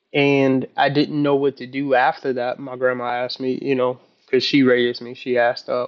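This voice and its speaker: Here a man talks at a fairly quick pace. His medium-pitched voice has fairly even intonation. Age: 30s. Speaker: vlogger learning to code. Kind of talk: casual personal vlog. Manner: halting, many fillers.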